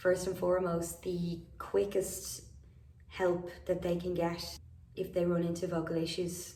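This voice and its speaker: In an Irish accent, a woman speaks with a fairly low pitch. Her delivery is fairly slow, with monotone, flat intonation. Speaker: vocal habilitation professional; singer. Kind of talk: casual talk to camera.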